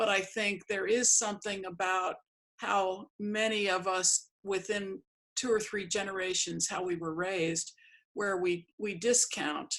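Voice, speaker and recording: A woman with an American accent has an unremarkable speaking voice at a medium pitch. She speaks at a fairly slow pace with fairly even intonation. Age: 60s. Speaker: artist and interviewer. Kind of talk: casual interview.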